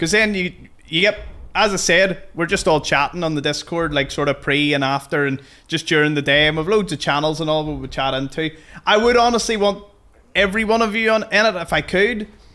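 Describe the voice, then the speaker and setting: With a Belfast accent, a man talks at a fairly quick pace in a high, bright, sharp voice with ordinary pitch variation, on a very clean recording with a silent background. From Northern Ireland, Belfast. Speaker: gaming streamer. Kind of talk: live stream chat while gaming. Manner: casual, conversational.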